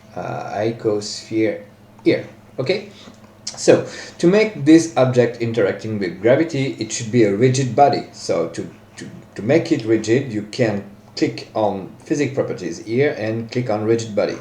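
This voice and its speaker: A man with a non-native accent talks at a medium pitch and moderate pace with lively intonation, with audible room echo and noticeable background noise. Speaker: software tutorial maker. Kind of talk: tutorial. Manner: hesitant, many fillers.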